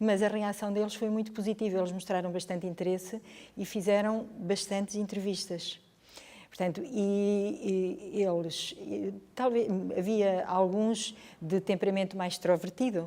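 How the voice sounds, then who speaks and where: Her tone dark and mellow, a woman speaks at a fairly slow pace and medium pitch with fairly even intonation. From northern Portugal (Chaves). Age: 60s. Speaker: history teacher. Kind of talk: interview. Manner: hesitant, with fillers and repetitions.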